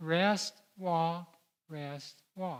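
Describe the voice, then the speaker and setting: A man speaks at a high pitch with fairly even intonation. The recording is very clean, with a silent background. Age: 80s. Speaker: physician giving health talk. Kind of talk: health lecture.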